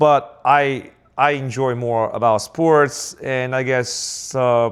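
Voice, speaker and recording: This man has a medium-pitched voice and fairly even intonation. He talks at a very slow pace. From southern China. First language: Chinese. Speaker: business owner. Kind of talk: casual chat. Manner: halting.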